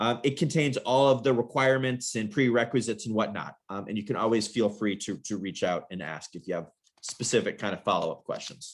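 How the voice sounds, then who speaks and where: The speech moves at a fairly quick pace with hardly any pauses and ordinary pitch variation. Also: man, medium pitch for a man. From US, New York City. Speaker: university admissions representative. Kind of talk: information session presentation. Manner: fast; hesitant, many filler words.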